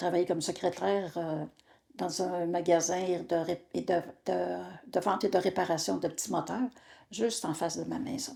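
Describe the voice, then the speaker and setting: Over a silent background on a very clean recording, a woman with a fairly low pitch, vocal fry and a dark, mellow tone speaks at a moderate pace with ordinary pitch variation and long, frequent pauses. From Quebec, Portneuf region. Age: 70s. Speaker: retired insurance broker. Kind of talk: interview. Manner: hesitant, many fillers.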